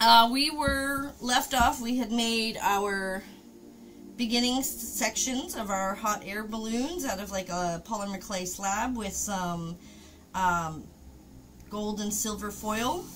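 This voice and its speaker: With light background noise behind her, a woman talks at a very slow pace and with ordinary pitch variation. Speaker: craft streamer. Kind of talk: casual stream chat. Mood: relaxed, laughing. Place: home room.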